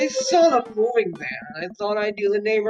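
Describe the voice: Text is read out plainly, and the intonation stays lively.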